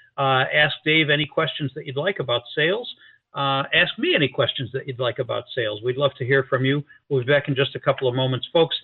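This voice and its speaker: Here is a man with a plain, everyday voice at a fairly high pitch. He talks at a fairly quick pace. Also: ordinary pitch variation. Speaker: radio talk show host. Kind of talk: radio dj patter. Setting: studio, live radio broadcast with phone-ins. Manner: upbeat, polished broadcaster delivery.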